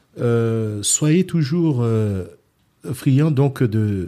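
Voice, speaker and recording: A man's dark, mellow voice with lively intonation. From France, Centre region. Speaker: boxing club founder. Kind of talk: interview.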